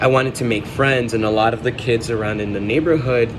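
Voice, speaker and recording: A man with a Spanish accent and a medium pitch, plus audible room echo and noticeable background noise. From Chicago, US. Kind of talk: personal vlog journal entry. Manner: halting, many fillers.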